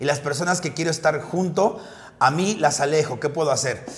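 With a Mexican accent, the speaker talks at a very fast pace in an animated tone over noticeable background noise. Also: man. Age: 40s. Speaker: drag queen comedian and podcast host. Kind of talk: casual chat.

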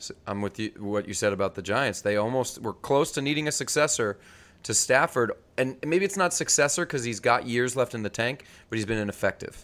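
A man with an American accent and a plain, everyday voice, medium in pitch, fairly quick, with lively intonation on a very clean recording with a silent background. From New York. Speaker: podcast co-host, football fan. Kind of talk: casual chat. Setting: video podcast recording.

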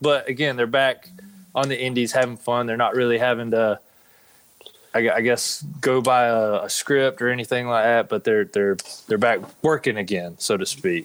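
The speaker has a plain, everyday voice with ordinary pitch variation. The pace is moderate. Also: man, medium pitch for a man. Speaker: pro wrestler. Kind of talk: casual chat. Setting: remote video call.

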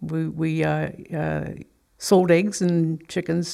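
A woman speaks at a very deep, low pitch with a dark, mellow tone. The recording is very clean, with a silent background. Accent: American. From US rural farm upbringing. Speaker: abortion recovery counselor. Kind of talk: testimony.

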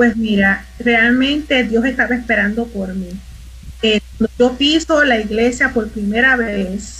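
Speaking with a Puerto Rican accent, a woman uses a fairly high pitch and fairly even intonation. Her pace is fairly slow, and there is noticeable background noise. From Puerto Rico (Mayagüez). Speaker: arts minister. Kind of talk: casual chat. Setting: live stream.

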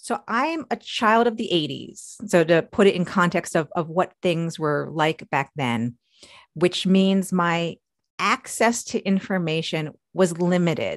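An ordinary speaking voice with an American accent and lively intonation moves at a fairly slow pace. The background is quiet. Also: woman, fairly low pitch for a woman. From New York. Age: 40s. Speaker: engineer and science fiction author. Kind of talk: interview.

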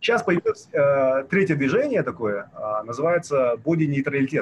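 The pitch of this man's voice moves in very wide swings. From Kazakhstan, Almaty. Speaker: activist and blogger. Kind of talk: casual interview.

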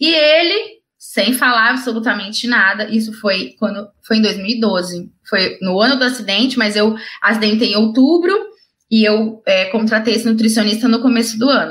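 This woman talks at a moderate pace in a fairly high voice, with ordinary pitch variation and very even loudness. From Brazil, interior of São Paulo state (Ribeirão Preto). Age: 30s. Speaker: wheelchair triathlete and speaker. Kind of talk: interview, personal story. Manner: talkative, fluent.

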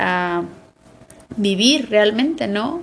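Very slow speech from a woman. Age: 30s. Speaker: podcast co-host. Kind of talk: casual chat.

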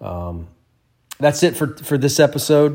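A man speaks at a moderate pace in an unremarkable speaking voice with lively intonation. The recording is very clean, with a silent background. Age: 40s. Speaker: podcast host, type one diabetic. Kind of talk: solo podcast monologue. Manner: casual, conversational with fillers.

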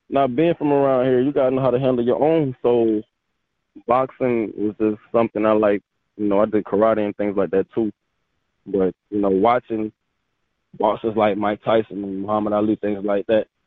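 A man with an American accent talks at a moderate pace in a fairly low pitch. He has an ordinary speaking voice with ordinary pitch variation. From Delaware, US. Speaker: boxer and fitness model. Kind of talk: casual interview.

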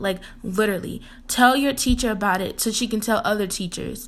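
A woman's fairly high voice at a moderate pace with ordinary pitch variation. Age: 20s. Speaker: motivational speaker and entrepreneur. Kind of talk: solo podcast tips talk. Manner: animated.

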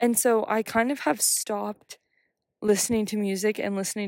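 The woman's voice is medium in pitch, with an American accent. It is an unremarkable speaking voice. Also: dry, close sound with no echo. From United States. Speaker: podcast host, writer and wellness advocate. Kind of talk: solo casual talk. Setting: outdoors on a bench.

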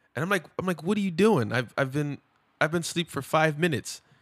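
The recording of this man with an American accent is very clean, with a silent background. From Los Angeles, California. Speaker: podcast co-host. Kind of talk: casual chat.

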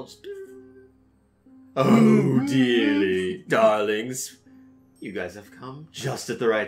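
Putting on a character voice at a medium pitch, a man speaks at a very slow pace with long, frequent pauses and big swings in loudness as music plays in the background. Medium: actual play. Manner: gushing, flirtatious.

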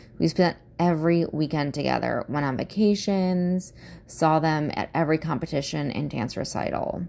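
A dark, mellow tone at a moderate pace, with ordinary pitch variation. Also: woman, very deep, low pitch for a woman. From US Midwest. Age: 30s. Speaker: podcast host. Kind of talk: casual monologue, personal introduction. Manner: laughs often, candid, swears.

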